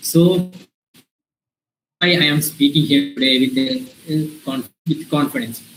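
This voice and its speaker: With music in the background, a man with an Indian accent speaks at a very slow pace, a fairly high pitch and fairly even intonation. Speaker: invited speaker, early-career professional. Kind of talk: talk to students in an online session. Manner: halting, many fillers.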